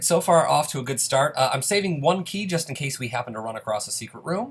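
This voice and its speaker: A man's very fast, somewhat breathy delivery with an upbeat tone and lively intonation. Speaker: gaming youtuber. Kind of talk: let's play commentary. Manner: casual, upbeat.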